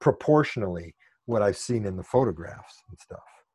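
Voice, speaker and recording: Over a quiet background, the voice has a dark, mellow tone and an American accent. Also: man. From Illinois, Chicago area. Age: 50s. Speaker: model railroader. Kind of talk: casual chat.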